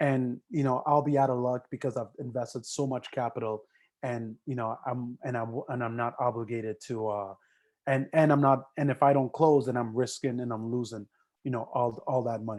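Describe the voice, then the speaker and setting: A man speaks at a medium pitch with fairly even intonation over a quiet background. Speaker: real estate trainer. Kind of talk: training lecture. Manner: fast.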